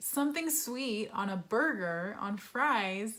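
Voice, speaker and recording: In a Western US accent, a woman speaks at a fairly high pitch. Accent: American, western US. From Utah, US (from age ten; early years Southern California). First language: Spanish. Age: 20s. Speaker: vlogger. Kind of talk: casual Q&A vlog.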